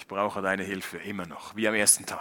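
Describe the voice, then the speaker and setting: The man's voice has a bright, sharp tone. Vocal fry runs through it. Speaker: preacher. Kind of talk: sermon in German, thematic Bible teaching delivered to a church congregation. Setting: church. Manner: earnest, explanatory, structured and clearly paced; warm pastoral tone; formal, teacherly, with points enumerated and scripture read aloud, ending in prayer.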